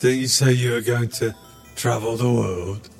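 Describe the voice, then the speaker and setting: Clear music plays behind a man doing a put-on character voice. His pitch is medium and his pace moderate. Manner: innocent, naive, cheerful.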